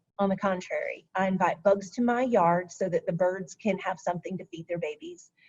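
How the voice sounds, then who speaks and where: Fairly quick and with hardly any pauses, the voice is somewhat breathy, with fairly even intonation. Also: woman, medium pitch for a woman. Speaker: county stormwater program presenter. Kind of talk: webinar presentation.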